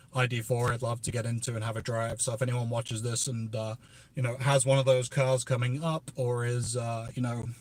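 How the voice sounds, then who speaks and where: A man with a somewhat breathy, medium-pitched voice talks at a fairly quick pace. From northern England, Merseyside. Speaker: EV YouTuber. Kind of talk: livestream Q&A chat. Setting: outdoors at EV charging station. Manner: casual with many fillers.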